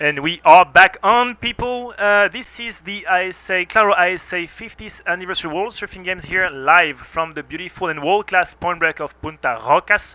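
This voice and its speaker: A man speaks in a raised, projected voice with a French accent, pitched high and sounding bright and sharp. His loudness swings widely, he hardly pauses, and the sound is dry and close with no echo. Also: ordinary pitch variation, moderate pace. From France. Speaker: surf contest commentator. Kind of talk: live commentary. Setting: commentary booth.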